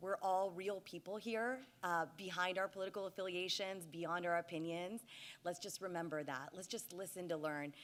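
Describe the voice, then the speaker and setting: On a very clean recording with a silent background, a woman with a medium pitch speaks in an animated tone at a fairly quick pace. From US, Indian immigrant family. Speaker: political commentator and moderator. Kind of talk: panel moderation. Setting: stage with audience. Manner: fast.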